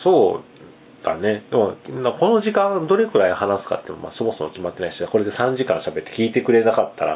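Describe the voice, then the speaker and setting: Loudness swings widely as a man talks at a fairly quick pace. Background noise is noticeable. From Japan, Kagawa (small Seto Inland Sea island). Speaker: small business owner and island resident. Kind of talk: casual chat. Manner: hesitant, many fillers.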